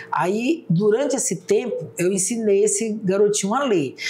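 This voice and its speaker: Amid noticeable background noise and audible room echo, a woman with a medium pitch speaks at a moderate pace. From Brazil, Roraima (Mucajaí). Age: 60s. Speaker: public defender and former teacher. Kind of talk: interview.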